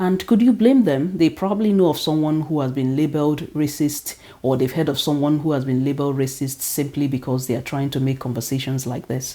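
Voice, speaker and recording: Speaking with a Nigerian accent, a woman talks at a fairly quick pace with hardly any pauses, her very deep, low pitch showing ordinary variation. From Nigeria (Igbo). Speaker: teacher and vlogger. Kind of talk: opinion vlog monologue.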